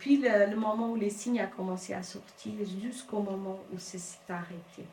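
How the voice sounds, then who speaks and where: Woman of medium pitch with ordinary pitch variation and a fairly slow pace, amid audible room echo and noticeable background noise. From Cape Verde. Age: 50s. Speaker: domestic violence survivor. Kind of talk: testimony. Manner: halting.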